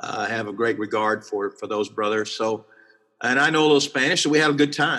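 A man with a Texan accent, medium pitch and ordinary pitch variation, bright, sharp in tone, at a very fast pace. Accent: Texan Southern US. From South Texas, near Corpus Christi. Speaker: pastor. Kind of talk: interview.

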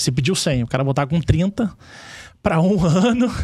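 A somewhat breathy male voice at a moderate pace. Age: 40s. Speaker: insurance sales executive, former corporate banker. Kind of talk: casual chat.

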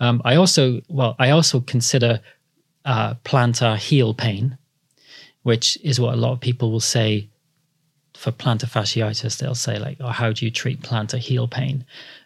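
A man in a South Wales accent, somewhat breathy, medium in pitch with fairly even intonation and a moderate pace, on a very clean recording with a silent background. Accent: South Welsh (Cardiff). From Wales, Cardiff. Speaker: podiatrist. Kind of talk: interview, casual explanatory chat.

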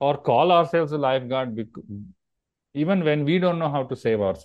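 A man speaks with lively intonation and a fairly high pitch, in an Indian accent. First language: Marathi. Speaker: yoga teacher. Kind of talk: interview.

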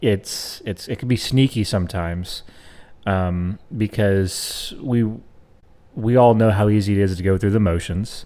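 This is an unremarkable speaking voice with ordinary pitch variation. It moves at a fairly slow pace. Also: man. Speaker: co-host. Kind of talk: casual chat.

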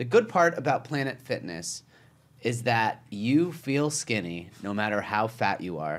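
Loud and animated, a man speaks at a medium pitch. His pitch swings very widely. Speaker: comedian. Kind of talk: casual comedic chat, podcast. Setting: studio. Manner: animated, loud.

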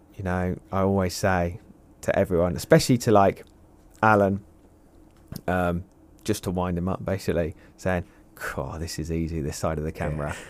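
A man with an English accent speaks in a very deep, low voice at a moderate pace. He leaves long, frequent pauses. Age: young. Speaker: carp angler and fishing media director. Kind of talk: casual chat. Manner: animated.

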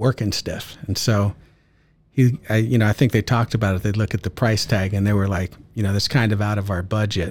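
Somewhat breathy speech moves at a fairly quick pace with fairly even intonation in a very clean recording with a silent background. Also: man. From US West Coast, San Francisco Bay Area. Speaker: retired police officer and martial arts coach. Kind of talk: casual interview.

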